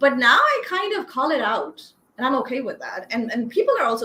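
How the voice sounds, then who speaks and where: Her intonation is lively throughout. This woman talks very fast. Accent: Pakistani. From Pakistan. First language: Urdu. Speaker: copywriter. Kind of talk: interview.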